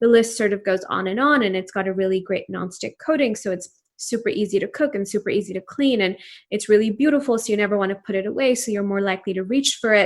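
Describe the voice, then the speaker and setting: Speaking very fast, a woman talks with a Pakistani accent. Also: medium pitch for a woman, ordinary pitch variation. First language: Urdu. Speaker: entrepreneur. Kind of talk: interview.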